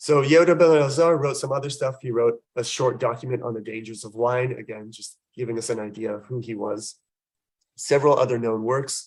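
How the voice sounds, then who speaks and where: At a fairly quick pace, a man speaks at a medium pitch with ordinary pitch variation and big swings in loudness. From California. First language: Persian. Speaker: historian lecturer. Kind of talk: lecture.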